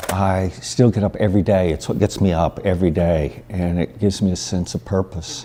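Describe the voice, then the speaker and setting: This man's pitch is very deep and low, and his pace is moderate. Noticeable background noise can be heard. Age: 60s. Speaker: photographer. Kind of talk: interview answer. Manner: hesitant, many fillers.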